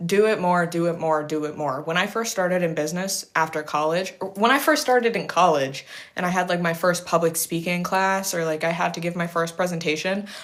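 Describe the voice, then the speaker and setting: This woman has fairly low pitch with ordinary pitch variation. She uses a normal speaking voice. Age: 20s. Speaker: livestreamer giving life and business advice. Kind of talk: casual livestream Q&A. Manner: casual, filler-heavy with self-corrections.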